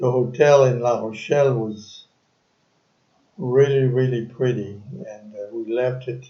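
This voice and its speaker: A man speaks with a somewhat breathy voice and fairly even intonation. Audible room echo is present. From France. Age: 80s+. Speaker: retiree interviewed by his son. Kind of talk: family interview. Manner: halting.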